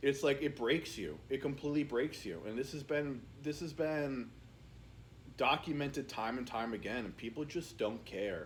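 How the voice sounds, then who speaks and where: Fairly high in pitch with vocal fry, a man speaks at a moderate pace with ordinary pitch variation. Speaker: YouTuber. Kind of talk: casual rant to camera. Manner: casual, filler-heavy, repetitive.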